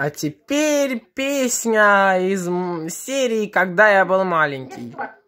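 The tone is bright and sharp, with lively intonation. The pace is slow.

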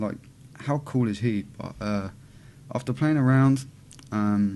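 Over light background noise, a man with a British accent and a dark, mellow tone speaks at a moderate pace with lively intonation. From UK. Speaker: vape YouTuber. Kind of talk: casual vlog. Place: home room. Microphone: webcam.

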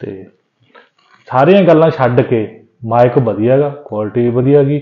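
A man speaks at a moderate pace. His pitch is medium, with ordinary pitch variation.

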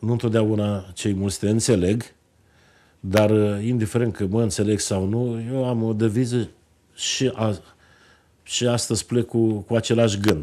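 A man speaks fairly slowly at a fairly low pitch, his tone dark and mellow with fairly even intonation. Long, frequent pauses break up his speech against a quiet background. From Romania, Moldavia region (Bacău county); Moldavia, Romania. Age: 50s. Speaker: politician, member of parliament; politician. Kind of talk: TV interview. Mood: earnest, persuasive. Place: studio.

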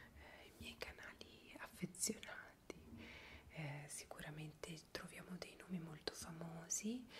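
Very slow whispering from a woman. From Piedmont, Italy. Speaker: ASMR creator. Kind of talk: interview answer. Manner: whispered. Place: home room. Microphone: earbuds.

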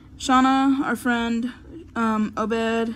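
A woman's fairly even intonation comes with a somewhat breathy quality. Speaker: vlogger. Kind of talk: casual vlog chat. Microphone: phone near.

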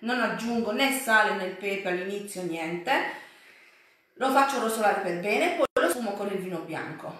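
A woman talks at a moderate pace, and room echo is audible. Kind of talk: cooking tutorial. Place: home room. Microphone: phone near.

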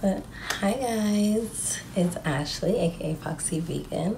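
Female speech with clearly audible noise behind it. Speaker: vlogger. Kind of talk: casual vlog chat. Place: home room. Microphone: phone near.

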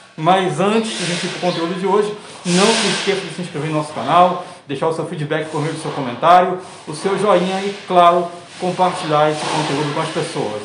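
The speaker goes at a fairly quick pace against noticeable background noise. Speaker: podcast host interviewer. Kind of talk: interview. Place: street. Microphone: phone near.

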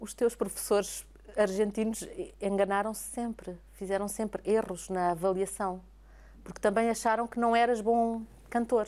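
A woman's flat, monotone voice at a fairly slow pace, with big swings in loudness. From Portugal. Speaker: TV interviewer. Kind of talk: interview. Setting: opera house. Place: hall. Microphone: lapel.

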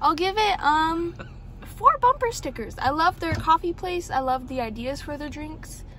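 Over light background noise, a woman uses a raised, projected voice with very wide pitch swings, the sound dry with no echo. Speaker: co-host of coffee review vlog. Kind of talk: casual vlog chat. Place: car. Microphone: phone near.

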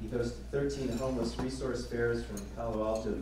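A man is speaking with audible room echo. Noticeable background noise is present too. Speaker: event host introducing speakers. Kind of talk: formal speaker introduction. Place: hall.

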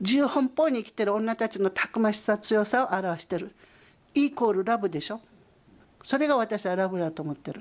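A woman talks at a fairly quick pace in an unremarkable speaking voice, her pitch fairly high. Her intonation is lively, and her loudness swings widely. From Okinawa, Japan. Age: 50s. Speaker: photographer. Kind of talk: interview testimony.

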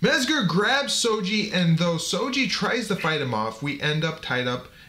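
A man with an American accent speaks at a fairly slow pace in a high pitch with very wide pitch swings. Noticeable background noise is audible. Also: hardly any pauses. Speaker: podcast host. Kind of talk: fight commentary. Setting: home recording with friends.

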